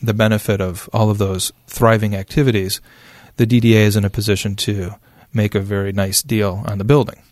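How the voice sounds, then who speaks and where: A man with an Upper Midwest accent, fairly even intonation, and a very clean recording over a silent background. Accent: Upper Midwest American. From West Michigan (Spring Lake). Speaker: downtown development official. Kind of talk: interview. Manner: halting, many fillers.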